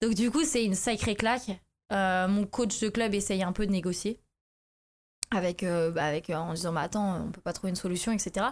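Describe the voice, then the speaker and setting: A woman speaks in a plain, everyday voice at medium pitch with ordinary pitch variation. The recording is very clean, with a silent background. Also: moderate pace. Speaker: former judo athlete turning to MMA. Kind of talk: casual interview.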